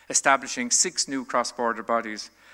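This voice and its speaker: Talking very fast, a man speaks in a Limerick accent. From Ireland, West Limerick. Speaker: retired senior diplomat. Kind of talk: keynote address. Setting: conference stage with audience. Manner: formal.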